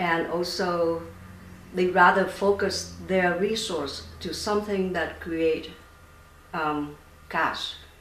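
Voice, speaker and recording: With a Vietnamese accent, a woman speaks very slowly in a fairly low, monotone, flat voice, leaving long, frequent pauses. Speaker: startup founder and scientist. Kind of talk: interview. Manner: halting, many fillers.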